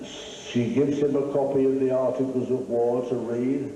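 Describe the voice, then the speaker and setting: Audible room echo plus noticeable background noise. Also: man. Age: 80s+. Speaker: retired Salvation Army commissioner and author. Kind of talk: interview.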